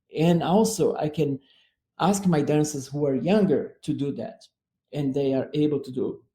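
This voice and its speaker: In a Brazilian accent, a man speaks with a fairly high pitch and a dark, mellow tone. He sounds somewhat breathy, with ordinary pitch variation at a moderate pace. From southern Brazil. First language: Portuguese. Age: 60s. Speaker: dance artistic director. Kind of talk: radio interview. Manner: halting.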